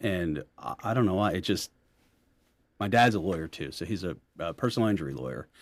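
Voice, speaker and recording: A man speaks in a very deep, low voice with vocal fry and a Philadelphia accent. He leaves long, frequent pauses. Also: lively intonation, fairly quick pace. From Philadelphia, US. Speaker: family law attorney, firm founder. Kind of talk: casual interview chat. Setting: in-person interview.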